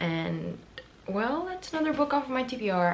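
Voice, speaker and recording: A woman speaks at a moderate pace as noticeable background noise and audible room echo surround her. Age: 20s. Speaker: booktuber. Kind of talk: casual vlog talk. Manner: animated.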